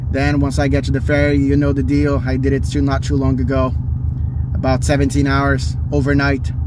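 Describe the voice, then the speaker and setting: A man talks at a moderate pace in a dry sound with no echo, with noticeable background noise. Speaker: car enthusiast vlogger. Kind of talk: casual vlog chat. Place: car. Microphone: phone near.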